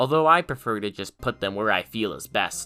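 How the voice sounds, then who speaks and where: Background music accompanies speech delivered at a moderate pace. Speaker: map-making video creator. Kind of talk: tutorial.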